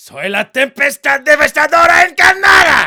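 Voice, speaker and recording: Putting on a character voice, a man talks at an extremely high pitch. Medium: game stream. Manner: dramatic.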